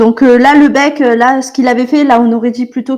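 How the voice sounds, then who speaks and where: Delivered in a southern French accent, the speech has a monotone, flat intonation. The pace is fairly quick. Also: woman. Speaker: artist giving drawing critique. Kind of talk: drawing critique in group call. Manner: hesitant, many fillers.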